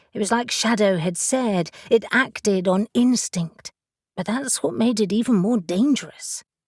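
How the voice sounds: Here is a natural reading voice with ordinary pitch variation. The background is quiet.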